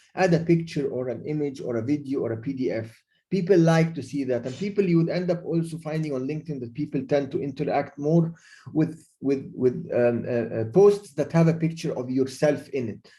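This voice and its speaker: A man speaks at a fairly quick pace and fairly high pitch with ordinary pitch variation. His tone is dark and mellow, somewhat breathy. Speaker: LinkedIn expert speaker. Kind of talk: webinar presentation. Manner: fast; halting, many fillers and repeats.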